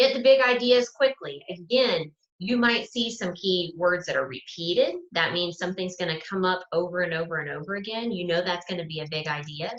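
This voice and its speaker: Hardly pausing, a woman with a plain, everyday voice talks at a fairly quick pace and a fairly low pitch with lively intonation. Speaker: student success coach. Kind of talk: live webinar lecture.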